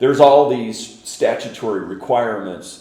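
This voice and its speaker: Amid noticeable background noise, a man speaks with monotone, flat intonation. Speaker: auctioneer and commercial real estate professional. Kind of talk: interview answer, explanatory.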